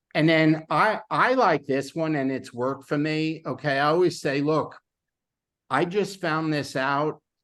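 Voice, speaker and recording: A man speaks against a quiet background. His pitch varies in an ordinary way. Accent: New York. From New York. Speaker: sales team trainer. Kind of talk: training session on a call. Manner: casual, halting with repeated words.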